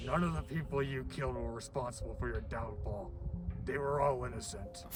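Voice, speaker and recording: Against loud background noise, a man uses a put-on character voice at a fairly quick pace. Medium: audio drama.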